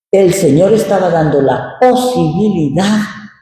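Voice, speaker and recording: A man's lively intonation with audible room echo. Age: 60s. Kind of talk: sermon. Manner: conversational.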